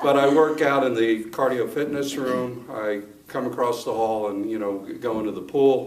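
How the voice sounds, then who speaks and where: Amid noticeable background noise and audible room echo, a man speaks with fairly even intonation. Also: medium pitch for a man, moderate pace. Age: 60s. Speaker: gym member giving testimonial. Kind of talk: testimony. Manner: halting, many fillers.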